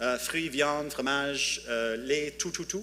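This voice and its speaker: Pitched fairly high, a man speaks at a fairly slow pace with ordinary pitch variation. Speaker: tech startup founder. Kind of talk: conference talk. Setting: conference with audience. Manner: halting, many hesitations.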